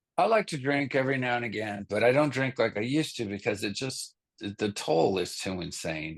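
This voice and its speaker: A man talks at a fairly quick pace with vocal fry. He hardly pauses at all. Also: medium pitch for a man, lively intonation, quiet background. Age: 50s. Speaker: rock band vocalist and bassist. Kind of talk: casual interview chat.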